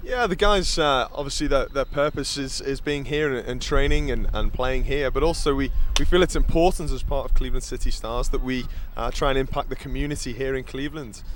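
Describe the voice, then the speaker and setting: A man talking at a fairly quick pace, with audible room echo and noticeable background noise. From Liverpool, England. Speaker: reserve team soccer coach. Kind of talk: halftime interview. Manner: halting, many fillers.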